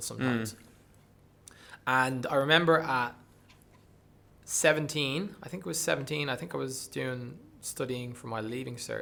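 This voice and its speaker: With a bright, sharp tone and a medium pitch, a man speaks at a moderate pace with ordinary pitch variation, big swings in loudness, and long, frequent pauses. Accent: Dublin. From Dublin, Ireland. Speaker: breathwork coach and performer. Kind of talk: podcast interview answer.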